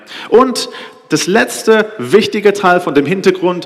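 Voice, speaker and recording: A man's lively intonation at a fairly slow pace. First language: Hebrew (speaking German). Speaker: preacher. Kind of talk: sermon. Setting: stage with audience. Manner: halting.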